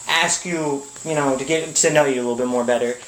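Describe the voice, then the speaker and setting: A man's voice comes through amid noticeable background noise. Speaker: interviewer. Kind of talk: interview. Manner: halting.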